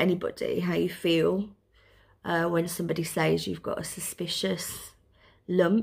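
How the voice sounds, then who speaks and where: A woman's fairly slow speech in a Birmingham accent, on a very clean recording with a silent background. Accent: Birmingham (Brummie). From Birmingham, England. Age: 40s. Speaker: mother with breast cancer. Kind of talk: casual talk to camera, personal vlog.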